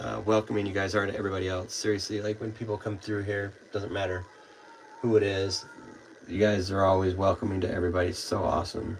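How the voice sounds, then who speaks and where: A man's fairly low voice moves at a fairly quick pace, with noticeable background noise behind it. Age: 20s. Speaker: livestreamer with chronic illness. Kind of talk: casual chat. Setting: live stream at home. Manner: halting.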